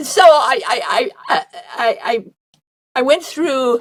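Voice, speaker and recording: A woman speaks at a very slow pace. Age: 80s+. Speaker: near-death experience researcher. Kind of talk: interview answer.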